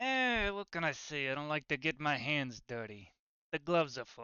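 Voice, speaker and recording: A put-on character voice carries the lines. Words come at a moderate pace. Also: man, fairly high pitch for a man. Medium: actual play. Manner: streetwise, cocky.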